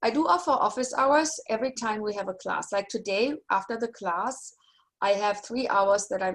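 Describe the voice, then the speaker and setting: A woman with a German accent, fairly quick pace, ordinary pitch variation. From Germany. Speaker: university lecturer. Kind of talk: online class session. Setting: video call.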